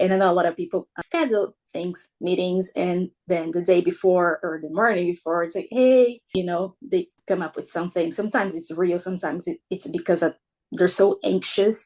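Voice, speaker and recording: A speaker with a Brazilian accent talks at a moderate pace with hardly any pauses and ordinary pitch variation, the sound dry and close with no echo. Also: woman, medium pitch for a woman. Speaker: military spouse. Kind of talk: podcast interview.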